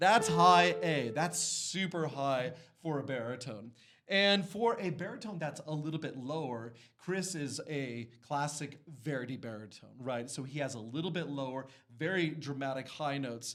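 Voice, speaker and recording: Lively intonation from a fairly high-pitched man at a moderate pace, with audible room echo. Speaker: voice teacher. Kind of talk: voice lesson demonstration.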